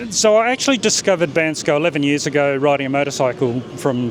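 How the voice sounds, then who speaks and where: Speaking with an Australian accent, a man uses a fairly high pitch and ordinary pitch variation over noticeable background noise. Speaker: startup founder. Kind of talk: interview. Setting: in-person at a nomad festival.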